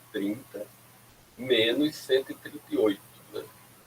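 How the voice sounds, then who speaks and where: A man is speaking. His pace is fairly slow. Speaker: university lecturer. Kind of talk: lecture.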